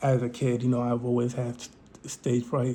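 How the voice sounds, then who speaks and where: Somewhat breathy, a man speaks at medium pitch with a dark, mellow tone. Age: 20s. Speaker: vlogger. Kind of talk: casual monologue to camera. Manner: halting, many fillers.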